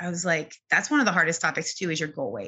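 Talking at a fairly quick pace, a woman with a fairly low pitch has an ordinary speaking voice. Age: 40s. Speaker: keto dieter sharing weight loss story. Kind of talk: interview.

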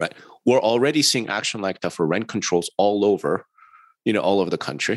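With an American accent, a man in an unremarkable speaking voice talks at a fairly quick pace, his fairly low pitch carrying lively intonation. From New York. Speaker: real estate industry consultant and podcast co-host. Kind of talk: podcast interview.

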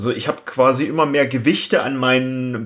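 This man talks with a slight East German accent. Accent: slight East German dialect slipping through. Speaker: agile coach and podcast co-host. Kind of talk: casual chat.

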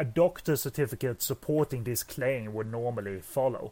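A very clean recording with a silent background, carrying a man's dark, mellow tone. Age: 30s. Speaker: film podcast co-host. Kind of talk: casual chat.

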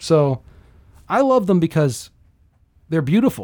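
The man's voice has a dark, mellow tone. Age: 50s. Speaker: comedian. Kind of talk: casual chat. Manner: soft-spoken; fast.

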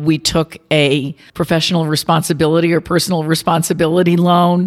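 A woman's fairly low, monotone voice with flat intonation, in an American accent, at a moderate pace. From New York City. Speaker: business district president. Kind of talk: interview, professional conversation. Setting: office recording.

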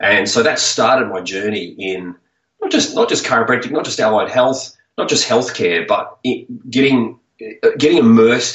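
A man talks at a moderate pace in a passionate, animated tone. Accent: Australian. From Australia. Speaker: chiropractor and author.

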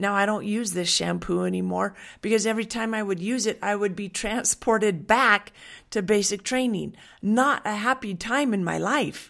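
In a very clean recording with a silent background, a woman has a plain, everyday voice of medium pitch with an American accent. She speaks at a moderate pace with fairly even intonation. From Western Washington, US. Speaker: essential oils wellness coach. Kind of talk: monologue with sales pitch. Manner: warm, earnest.

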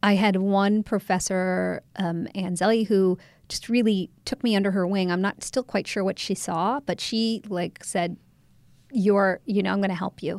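An ordinary speaking voice with a General American accent talks at a moderate pace and with fairly even intonation. The recording is very clean with a silent background, and the sound is dry and close with no echo. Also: woman, medium pitch for a woman. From Ohio, US. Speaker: documentary filmmaker and photographer. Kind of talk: interview.

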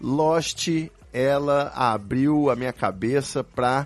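His medium pitch shows ordinary variation as the man speaks. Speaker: podcast host. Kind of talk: casual chat.

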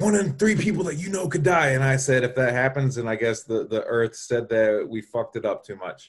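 A man talks at a fairly quick pace with hardly any pauses. His voice is somewhat breathy. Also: medium pitch for a man, lively intonation. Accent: American. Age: 30s. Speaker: Instagram marketing guest. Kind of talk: casual chat. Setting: live stream.

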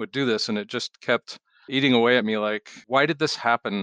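Speaking with a Pacific Northwest accent at a moderate pace, a man has a bright, sharp tone, medium pitch and ordinary pitch variation, recorded with a dry, close sound with no echo. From Washington State, Seattle. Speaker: charity director, retired police officer. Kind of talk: interview.

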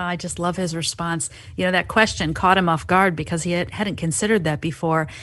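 Against a quiet background, a woman speaks in an ordinary speaking voice at a fairly quick pace. Her pitch is fairly low and her intonation fairly even. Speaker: recurring guest contributor. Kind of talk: casual discussion.

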